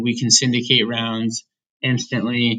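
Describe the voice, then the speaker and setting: A man speaks in a bright, sharp tone. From US Midwest (Indiana). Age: 20s. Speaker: venture capital investor. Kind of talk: interview.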